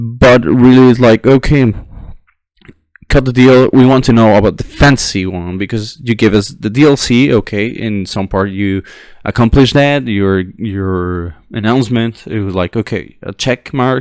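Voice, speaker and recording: This man speaks with a non-native accent at a moderate pace. His pitch sits in the medium range. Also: ordinary pitch variation. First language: not English. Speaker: gaming commentator, history student. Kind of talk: unscripted monologue. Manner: halting, many fillers and restarts. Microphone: poor audio quality.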